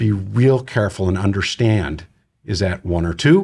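An American accent comes through in a somewhat breathy voice. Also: man. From Wisconsin, US Midwest. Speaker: nonprofit youth organization CEO. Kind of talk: interview. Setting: studio.

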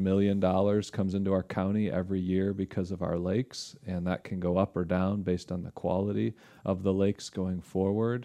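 A dark, mellow tone with a Michigan accent, a fairly quick pace and monotone, flat intonation against a quiet background. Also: man. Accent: Midwestern American (Michigan). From western Michigan (Holland). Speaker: lake research scientist. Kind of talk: casual interview. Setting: studio.

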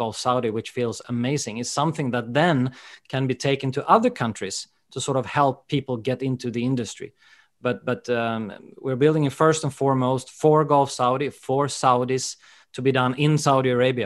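A man with a Swedish accent and a medium pitch talks at a moderate pace with fairly even intonation in a very clean recording with a silent background. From Sweden. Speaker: golf education director. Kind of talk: interview.

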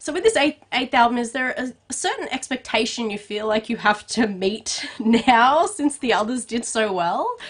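A woman with an Australian accent, high pitch, lively intonation and an upbeat, animated tone at a moderate pace over noticeable background noise. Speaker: entertainment podcast host and interviewer. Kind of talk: celebrity interview.

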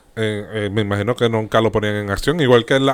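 A man in a Puerto Rican accent at a very fast pace, on a very clean recording with a silent background. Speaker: podcast co-host. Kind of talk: casual banter podcast.

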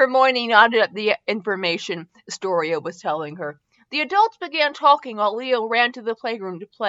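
Plain reading aloud with lively intonation, over a quiet background.

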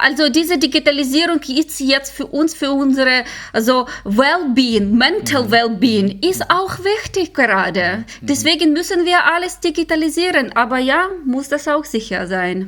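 A woman talks at a fairly slow pace with a high pitch and very wide pitch swings. She barely pauses at all. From Ukraine. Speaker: security researcher. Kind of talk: interview.

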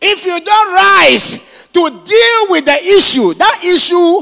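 A man speaks at an extremely high pitch with vocal fry, lively intonation and a bright, sharp tone.

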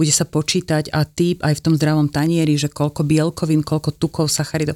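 A woman's very deep, low, monotone, flat voice at a fairly quick pace, dry and close with no echo, on a very clean recording with a silent background. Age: 50s. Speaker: nutrition therapist. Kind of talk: interview.

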